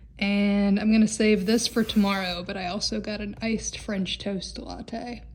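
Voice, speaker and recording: With a monotone, flat intonation, a woman at medium pitch sounds somewhat breathy. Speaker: vlogger, film and TV actor. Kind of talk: travel vlog. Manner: casual, with hesitations.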